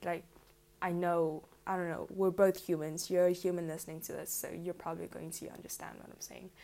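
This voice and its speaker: A woman's fairly low-pitched voice with a dark, mellow tone. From South Africa. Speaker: podcaster. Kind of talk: casual monologue. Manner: rambling; animated.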